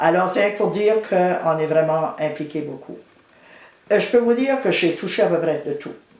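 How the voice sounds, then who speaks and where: Lively intonation at a moderate pace amid noticeable background noise. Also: woman, fairly low pitch for a woman. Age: 70s. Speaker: retired teacher and community volunteer. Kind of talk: interview testimony.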